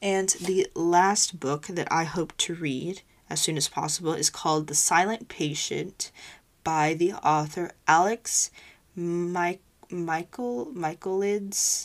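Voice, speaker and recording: With ordinary pitch variation, the delivery unfolds at a very slow pace. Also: woman, fairly low pitch for a woman. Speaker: podcast host. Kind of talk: casual solo talk. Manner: energetic.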